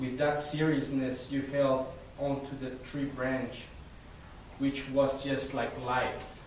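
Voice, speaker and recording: A man with a non-native accent and a fairly high pitch, very slow pace, noticeable background noise and audible room echo. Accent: foreign, Spanish-speaking. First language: Spanish. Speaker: poet. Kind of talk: poetry reading; casual introduction to audience. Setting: library event with live audience.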